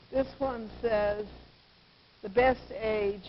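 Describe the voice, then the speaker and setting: Against noticeable background noise, a woman with an American accent speaks at medium pitch and a very slow pace, her intonation fairly even. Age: 80s+. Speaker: gerontologist and author. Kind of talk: interview.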